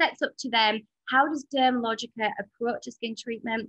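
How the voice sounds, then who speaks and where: At a moderate pace, a woman talks in a bright, sharp tone at a fairly high pitch, the sound dry and close with no echo. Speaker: skincare educator presenting a training programme. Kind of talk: online webinar presentation. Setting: online webinar. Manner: animated.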